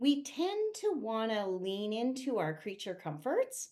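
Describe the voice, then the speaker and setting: The recording is very clean with a silent background. The delivery is very slow, with very wide swings in pitch. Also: woman. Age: 60s. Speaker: vlogger. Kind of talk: casual chat. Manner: conversational.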